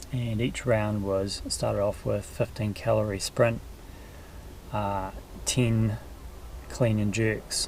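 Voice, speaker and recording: With music in the background, a man with a New Zealand accent speaks very slowly in a relaxed tone, his fairly low pitch held in a monotone, flat intonation. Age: 50s. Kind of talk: casual talk to camera. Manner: relaxed, easygoing, hesitant.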